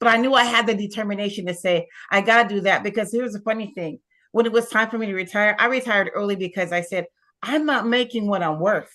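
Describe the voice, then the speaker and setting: A woman with an American accent talks at a very fast pace in a fairly high pitch. Her tone is bright, sharp and animated, with ordinary pitch variation. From US East Coast, Pittsburgh. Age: 60s. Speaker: retired teacher turned real estate investor. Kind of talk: testimony.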